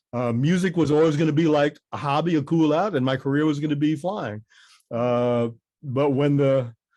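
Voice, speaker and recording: Speaking with a New York accent, a man has a dark, mellow tone, very even loudness and ordinary pitch variation. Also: fairly high pitch for a man, moderate pace. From New York City, Queens. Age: 60s. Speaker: musician and airline pilot. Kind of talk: radio interview.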